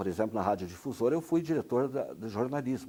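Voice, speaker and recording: A man at medium pitch has a dark, mellow tone with vocal fry. His pitch swings very widely. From Brazil, Paraná. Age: 60s. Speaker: retired radio announcer. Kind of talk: interview answer.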